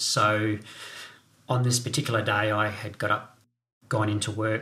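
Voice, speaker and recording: A man with an Australian accent speaks in a fairly low pitch and a monotone, flat intonation. He leaves long, frequent pauses. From South Australia. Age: 50s. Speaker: bereaved father sharing his story. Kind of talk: testimony. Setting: home kitchen studio.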